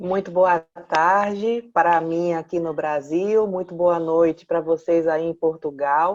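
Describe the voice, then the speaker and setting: A woman with a Pernambuco accent speaks at a fairly slow pace. Her voice is fairly low with monotone, flat intonation. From Pernambuco, northeastern Brazil. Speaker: clinical psychologist. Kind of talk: talk show interview.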